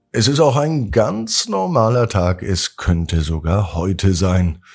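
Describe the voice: A slow, lively-intoned voice with a slightly mellow tone, vocal fry and a slightly husky edge on a very clean recording with a silent background. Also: man, fairly low pitch for a man.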